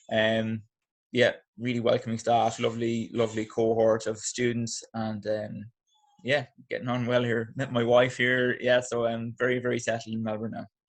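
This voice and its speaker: A man with an Irish accent, medium in pitch, with monotone, flat intonation at a moderate pace. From Ireland, Athlone, Midlands. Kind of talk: podcast interview.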